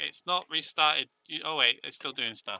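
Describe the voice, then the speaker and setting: Vocal fry runs through this voice with a British accent. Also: man. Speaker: game streamer. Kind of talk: live stream commentary. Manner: loud.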